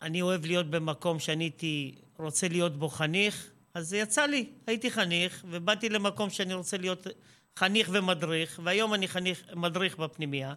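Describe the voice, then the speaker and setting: Pitch variation is ordinary and the pace fairly quick. The recording is very clean, with a silent background. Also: man, high pitch for a man. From Israel. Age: 50s. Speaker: school administrator. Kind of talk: interview.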